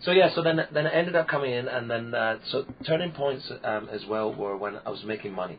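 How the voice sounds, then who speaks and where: A man at a fairly quick pace, lively in intonation, with hardly any pauses. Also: medium pitch for a man. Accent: Scottish. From Scotland, Peebles near Edinburgh. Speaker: clown and entertainer. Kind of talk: interview.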